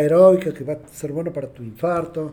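High-pitched male voice, dark and mellow in tone, with ordinary pitch variation. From Argentina. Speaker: adaptive athlete and motivational speaker. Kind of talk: casual interview conversation. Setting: podcast recording with small live audience.

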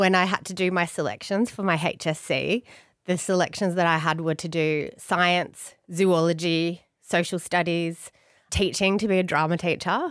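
In a very clean recording with a silent background, a woman talks at a fairly low pitch. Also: moderate pace. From Australia, Blue Mountains (NSW). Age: 40s. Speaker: family lawyer. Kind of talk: casual interview chat. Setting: studio with microphones and headphones. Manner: bubbly.

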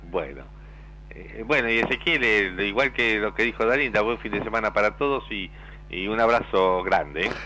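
This man talks at a moderate speed as music plays behind him. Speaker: radio announcer. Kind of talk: casual chat.

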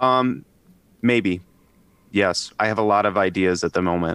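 This voice belongs to a man. His accent is American. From US South, Tennessee. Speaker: rock musician. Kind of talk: casual interview chat. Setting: video call.

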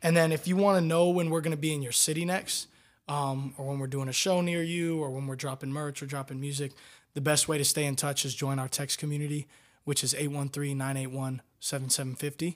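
In a very clean recording with a silent background, a plain, everyday voice with an American accent moves at a fairly quick pace with fairly even intonation. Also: man, fairly high pitch for a man. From Florida, Tampa. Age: 20s. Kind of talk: casual interview.

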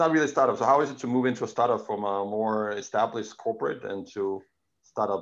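In a Danish accent, a man talks at a very fast pace. His medium-pitched voice has lively intonation. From Denmark. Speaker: podcast host. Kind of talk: interview. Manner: halting.

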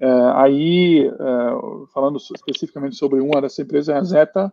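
A man's voice at medium pitch and a moderate pace. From Germany. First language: German (speaking Portuguese). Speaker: company founder and CEO. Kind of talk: panel discussion. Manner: hesitant, many fillers.

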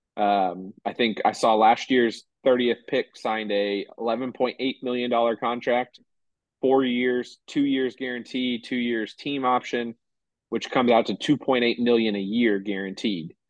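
A man with a normal speaking voice talks at a moderate pace and medium pitch, keeping his intonation fairly even. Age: 30s. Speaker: sports podcast co-host. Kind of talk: casual chat.

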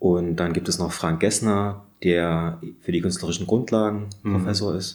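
A man's very deep, low voice in a monotone with flat intonation. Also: moderate pace. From Saxony, Radeberg near Dresden. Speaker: illustration professor and animator. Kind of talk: casual interview. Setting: studio atelier.

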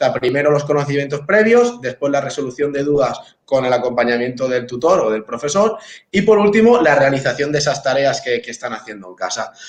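Speaking at a fairly quick pace with hardly any pauses, a man with a fairly high voice swings very widely in pitch. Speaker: teacher. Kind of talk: casual chat. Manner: fast.

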